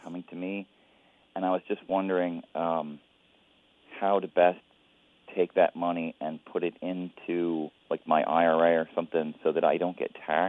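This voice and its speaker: Pitched very deep and low, a man speaks in a monotone, flat way at a moderate pace. Long, frequent pauses break up his speech. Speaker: caller. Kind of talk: radio call-in question. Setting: phone call.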